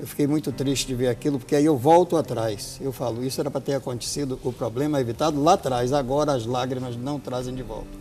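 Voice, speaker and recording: A man's medium-pitched voice at a very fast pace, with hardly any pauses and fairly even intonation, over music in the background. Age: 60s. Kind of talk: TV talk show interview.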